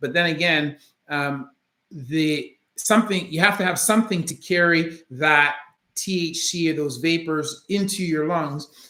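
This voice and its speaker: Speaking at a fairly slow pace, a man has a high pitch, a bright, sharp tone and ordinary pitch variation. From Canada, Jamaican family. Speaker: orthopedic surgeon, channel host. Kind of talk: live stream Q&A. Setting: home office, live stream. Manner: many fillers, hesitant.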